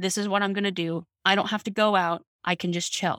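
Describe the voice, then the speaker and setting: A woman with an ordinary speaking voice, medium pitch and fairly even intonation, at a moderate pace in a dry, close sound with no echo. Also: very clean recording, silent background. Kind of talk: casual family chat.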